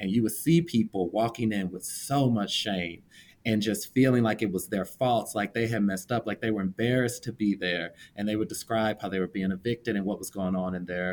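A man talks in a normal speaking voice at a fairly low pitch. He goes at a fairly quick pace with hardly any pauses. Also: ordinary pitch variation. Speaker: podcast co-host. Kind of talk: casual interview conversation.

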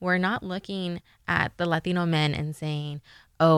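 With an American accent and a normal speaking voice, a woman of fairly low pitch talks at a moderate pace in fairly even intonation, captured dry and close with no echo on a very clean recording with a silent background. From Los Angeles, US. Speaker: graduate student. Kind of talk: casual chat.

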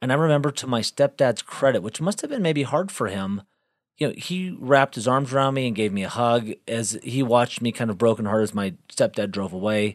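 A man with an American accent talks at a fairly quick pace in an ordinary speaking voice, medium in pitch with lively intonation, on a very clean recording with a silent background and a dry, close sound with no echo. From Texas (Galveston). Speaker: podcast guest, host's husband. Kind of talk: casual chat.

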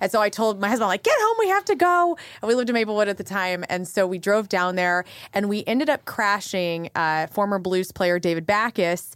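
A woman speaks with an American accent and a normal speaking voice at a fairly quick pace. Her medium pitch shows ordinary variation. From southern Illinois. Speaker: radio on-air personality. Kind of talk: casual interview chat.

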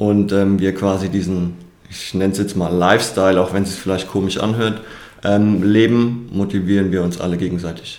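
A man talks at a fairly low pitch and a moderate pace. His intonation is fairly even, with audible room echo. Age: 30s. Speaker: personal trainer and soldier. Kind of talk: interview.

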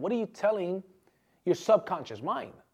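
The delivery has an animated tone. It runs at a fairly quick pace. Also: man. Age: 30s. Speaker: motivational speaker and podcast host. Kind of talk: motivational talk. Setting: studio.

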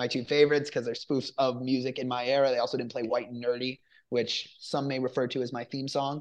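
Talking at a fairly quick pace, a man uses a medium pitch. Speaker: film review podcast host. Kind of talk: casual review chat. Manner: animated, excited.

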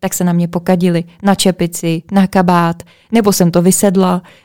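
A woman speaks in an ordinary speaking voice at a medium pitch, her intonation fairly even and the sound dry and close with no echo. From Czech Republic, Plzeň. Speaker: podcast host. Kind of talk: casual chat.

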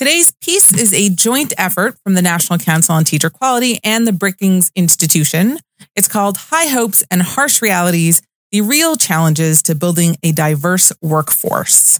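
Her ordinary speaking voice sits at medium pitch as the woman moves at a moderate pace with lively intonation and very even loudness, in a dry, close sound with no echo. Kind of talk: casual chat. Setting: studio.

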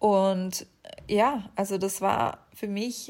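Her speech is fairly even in intonation, a woman at a medium pitch. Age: 20s. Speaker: podcast host. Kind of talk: casual monologue.

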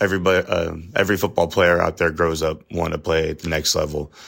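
His pitch sits very deep and low. The man speaks at a fairly quick pace. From Texas (Cedar Hill, Dallas area). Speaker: college football assistant coach. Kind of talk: podcast interview. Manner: loud.

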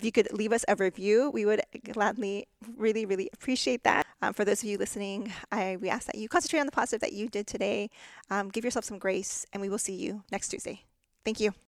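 A woman talks at a very fast pace with an American accent, her pitch fairly high and ordinary in its variation. The recording is very clean, with a silent background. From Texas. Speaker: podcast co-host, dental hygienist. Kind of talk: casual chat.

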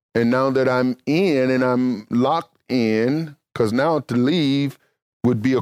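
A man with a Mississippi accent, medium pitch and ordinary pitch variation, speaking at a very slow pace on a very clean recording with a silent background. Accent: Southern US (Mississippi). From US South, Mississippi. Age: 60s. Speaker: pastor and Bible teacher. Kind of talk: sermon.

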